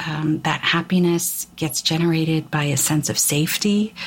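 A woman's fairly low voice with fairly even intonation, amid noticeable background noise. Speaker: spiritual podcast host. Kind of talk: spiritual talk. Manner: halting.

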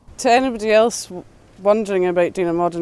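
A woman with a Scottish accent, very fast in pace, her tone dark and mellow. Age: 20s. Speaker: fish farm worker. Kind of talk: interview. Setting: outdoors.

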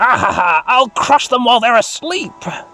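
This is a put-on character voice. Its pitch is fairly high. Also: moderate pace. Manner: menacing, gleeful.

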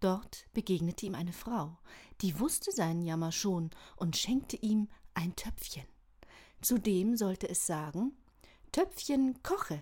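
At a fairly slow pace and with long, frequent pauses, the voice comes across warm and calm in tone, dark and mellow, and somewhat breathy, on a very clean recording with a silent background. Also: woman, medium pitch for a woman. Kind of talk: bedtime story reading. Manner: calm, gentle storytelling pace; warm, inviting, expressive.

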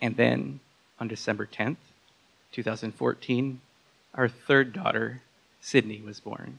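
A man of medium pitch talks at a very slow pace with lively intonation, vocal fry, big swings in loudness, and long, frequent pauses. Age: 30s. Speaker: storyteller at a live talk. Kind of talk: prepared personal story told to an audience.

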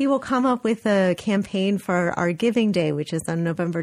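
A woman with a plain, everyday voice, medium pitch, ordinary pitch variation and an American accent, speaking at a moderate pace over a quiet background. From Los Angeles, California. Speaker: art museum director. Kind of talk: radio interview.

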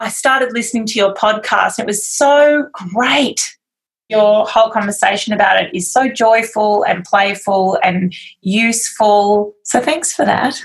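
Somewhat breathy, fairly high voice of a woman with an Australian accent, ordinary pitch variation and a fairly slow pace. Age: 40s. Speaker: magazine publisher and editor. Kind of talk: interview conversation.

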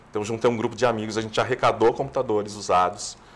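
This man's delivery races along very fast, pitched at a medium level. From Brazil, São Paulo city. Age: 50s. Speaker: TV screenwriter and producer. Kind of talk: interview.

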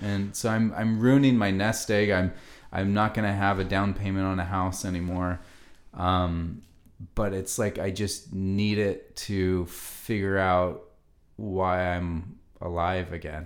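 Speaking fairly slowly in a very deep, low pitch, a man keeps a flat, monotone delivery amid audible room echo. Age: 30s. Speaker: podcast host. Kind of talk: casual chat. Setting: home apartment.

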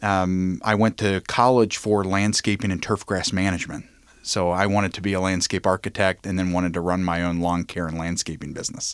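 In a very clean, dry, close recording with no echo and a silent background, a man with a very deep, low voice talks at a fairly quick pace with fairly even intonation. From Northern Kentucky (Covington). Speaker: executive search firm president. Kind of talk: interview conversation.

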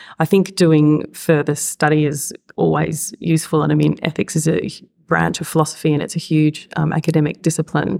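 Speaking with an Australian accent and vocal fry, a woman with a very deep, low pitch and a dark, mellow tone talks at a fairly quick pace with fairly even intonation. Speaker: intensive care specialist and ethicist. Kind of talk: panel discussion.

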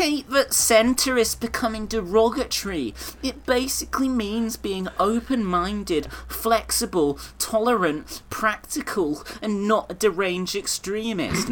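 In a put-on character voice, a man speaks with a high pitch and a whiny tone. His delivery is whiny and fairly slow, with light background noise behind him. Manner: whiny, annoying.

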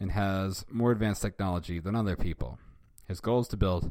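With ordinary pitch variation, a natural reading voice carries the passage.

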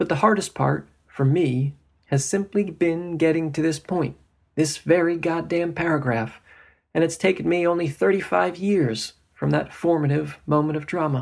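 Over a very clean recording with a silent background, a man speaks with an American accent at a moderate pace. He has an unremarkable speaking voice, fairly high in pitch, with ordinary pitch variation. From New Jersey and Florida. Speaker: novelist and poet. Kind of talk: reading aloud.

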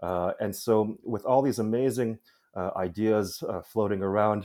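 On a very clean recording with a silent background, a man with a Midwestern accent speaks in a dark, mellow tone at a fairly low pitch with fairly even intonation. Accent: American, Midwestern. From US Midwest, Chicago. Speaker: curator. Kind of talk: interview. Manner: halting, many fillers and repetitions.

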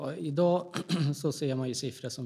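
A man's somewhat breathy voice, dark and mellow in tone, with ordinary pitch variation. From Gävle, Sweden. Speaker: politician. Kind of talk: interview.

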